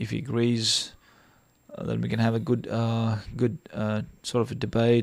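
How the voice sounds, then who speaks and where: With a non-native accent, a man speaks in a dark, mellow tone. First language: not English. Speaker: live stream debate host. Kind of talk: casual chat. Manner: halting.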